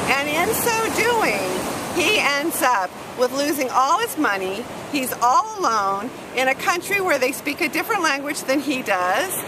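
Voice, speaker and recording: A high-pitched woman speaks at a fairly slow pace in a raised, projected voice with very wide pitch swings and very even loudness. Noticeable background noise runs beneath her. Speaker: writing teacher. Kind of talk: tutorial. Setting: outdoors by the ocean.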